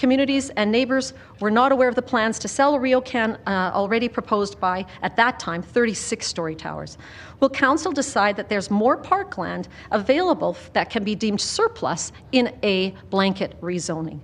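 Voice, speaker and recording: Speaking in a Canadian accent at a moderate pace, a woman with a plain, everyday voice uses a fairly high pitch, lively intonation and big swings in loudness. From Calgary, Canada. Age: 60s. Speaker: member of the public at a hearing. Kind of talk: public hearing testimony.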